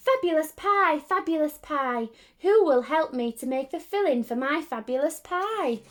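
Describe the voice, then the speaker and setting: A woman puts on a squeaky character voice, high in pitch. She speaks at a moderate pace. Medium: read story. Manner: sly, coaxing.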